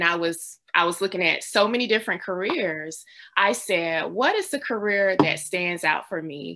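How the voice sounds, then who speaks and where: Against a quiet background, a woman speaks in a normal speaking voice at a moderate pace with ordinary pitch variation. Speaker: librarian and storyteller. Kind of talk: testimony.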